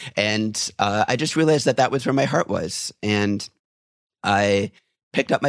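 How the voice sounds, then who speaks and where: In a normal speaking voice, a man with an American accent talks at a moderate pace with fairly low pitch and ordinary pitch variation, the sound dry and close with no echo over a quiet background. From rural Wisconsin, US. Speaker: tour guide trainer. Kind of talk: casual interview.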